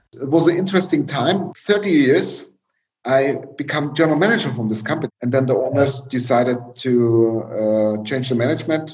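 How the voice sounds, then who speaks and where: A man with a German accent at a moderate pace, with lively intonation. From East Germany. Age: 40s. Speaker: tech company chief executive. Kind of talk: interview. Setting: video call. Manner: halting.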